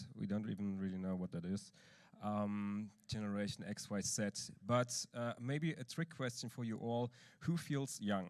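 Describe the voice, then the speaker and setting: At a fairly slow pace, a man speaks with an East German accent, a fairly low pitch and ordinary pitch variation. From eastern Germany. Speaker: church leader speaking at a conference. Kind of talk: conference talk.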